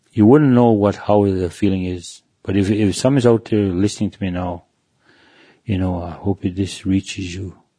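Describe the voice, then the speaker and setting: The man talks at a moderate pace in a dark, mellow tone. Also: fairly low pitch for a man, quiet background. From Manitoba, Canada (Cree First Nation). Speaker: recovered alcoholic sharing testimony. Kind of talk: testimony. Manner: halting, many repetitions.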